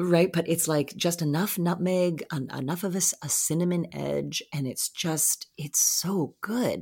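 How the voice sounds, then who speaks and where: The speaker has vocal fry and ordinary pitch variation, moving at a fairly slow pace with hardly any pauses. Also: woman, fairly low pitch for a woman. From Nova Scotia, Canada. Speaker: actor. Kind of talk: casual chat.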